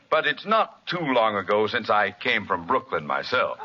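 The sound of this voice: A put-on character voice with a bright, sharp tone, a slightly husky edge and big pitch swings. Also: man, fairly low pitch for a man, moderate pace.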